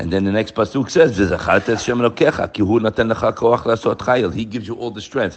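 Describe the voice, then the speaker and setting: A man at a medium pitch talks with ordinary pitch variation and hardly any pauses. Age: 60s. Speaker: religious lecturer. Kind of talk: Torah lecture. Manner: animated.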